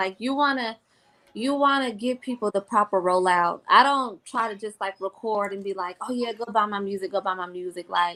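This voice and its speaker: In an American accent, the voice has a bright, sharp tone and ordinary pitch variation. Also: woman. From Jacksonville, Florida. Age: 20s. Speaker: R&B singer and entrepreneur. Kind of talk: podcast interview. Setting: live video podcast.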